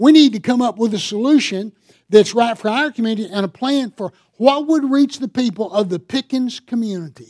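This man talks with a Southern US accent and an extremely high pitch. His pitch varies in an ordinary way. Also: dry, close sound with no echo, very clean recording, silent background. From US South, upstate South Carolina. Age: 60s. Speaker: pastor. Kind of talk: sermon. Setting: church.

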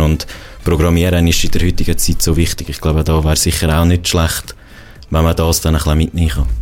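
Noticeable background noise sits behind a man talking at a fairly quick pace. His pitch is very deep and low. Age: 20s. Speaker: university student. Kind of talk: casual interview.

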